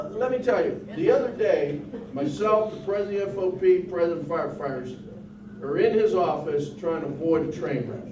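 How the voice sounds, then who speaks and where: Over noticeable background noise and audible room echo, a man with an American accent speaks at a fairly quick pace in a high pitch with lively intonation. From Pittsburgh, US. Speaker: union president. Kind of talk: union meeting talk to members. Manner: animated.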